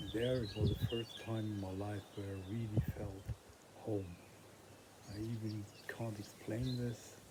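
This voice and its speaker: A man with a fairly low pitch speaks at a fairly slow pace in a monotone, flat intonation, leaving long, frequent pauses, with noticeable background noise. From northern Germany. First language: German. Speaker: vlogger. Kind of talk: personal vlog monologue. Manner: halting.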